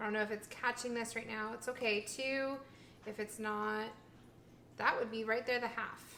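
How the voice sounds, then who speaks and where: Amid noticeable background noise, a woman mumbles at a moderate pace in a fairly high pitch, her intonation monotone and flat, with long, frequent pauses. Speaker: vegan food vlogger. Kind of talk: casual cooking vlog. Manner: mumbling; halting.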